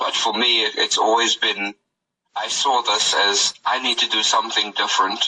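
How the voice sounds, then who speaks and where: A man with a South African accent, speaking at a fairly quick pace. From South Africa, Cape Town. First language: Afrikaans. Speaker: rapper and music producer. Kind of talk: interview. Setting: phone call.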